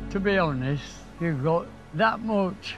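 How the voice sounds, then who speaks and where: A man's high voice in an East Midlands accent, with music in the background and audible room echo. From Nottingham, England. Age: 90s. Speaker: war veteran. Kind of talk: casual chat. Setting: outdoors.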